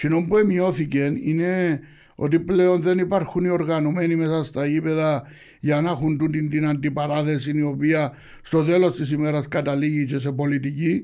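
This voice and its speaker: A man speaks with a Cypriot accent and fairly even intonation. The recording is very clean, with a silent background. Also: moderate pace. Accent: Cypriot Greek. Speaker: football supporters' group leader. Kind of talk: interview.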